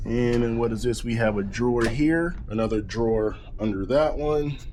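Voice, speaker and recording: A man in a relaxed tone with an American accent, at a moderate pace, with audible room echo. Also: medium pitch for a man, ordinary pitch variation. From eastern North Carolina. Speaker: travel vlogger. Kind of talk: casual vlog room tour. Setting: cruise ship cabin. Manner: casual, relaxed.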